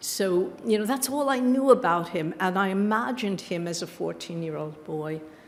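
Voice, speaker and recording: Speaking at a moderate pace in a New York accent, a woman of medium pitch uses lively intonation and big swings in loudness, with audible room echo around her. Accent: New York American. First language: Yiddish. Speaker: author and creative writing teacher. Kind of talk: book event interview.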